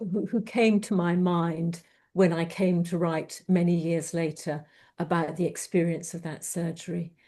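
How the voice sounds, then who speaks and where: A woman speaks in a fairly low, somewhat breathy voice with a dark, mellow tone. Her intonation is monotone and flat, her pace fairly slow, and the background quiet. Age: 60s. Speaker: poet. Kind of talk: interview with poetry reading.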